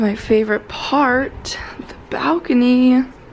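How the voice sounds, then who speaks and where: Speech comes at a very slow pace. Background noise is noticeable throughout. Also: woman. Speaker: vlogger. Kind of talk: casual vlog talk.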